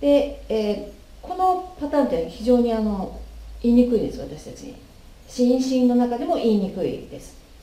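A woman talks at a moderate pace in a high pitch with lively intonation. Her loudness swings a lot, and there is audible room echo. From Japan. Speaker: English pronunciation teacher. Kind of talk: tutorial. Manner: formal. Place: home room. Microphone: camera far.

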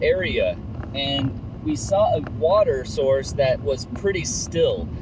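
A man is speaking. There is noticeable background noise, and the sound is dry with no echo. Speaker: photographer vlogger. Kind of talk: casual vlog chat. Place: car. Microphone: camera far.

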